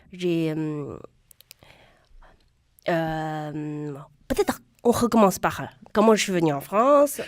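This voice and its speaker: Speaking at a very slow pace, a woman leaves long, frequent pauses. Her pitch is fairly low, and her intonation is lively. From China. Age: young. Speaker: stand-up comedian. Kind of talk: radio interview answer. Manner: lively, passionate.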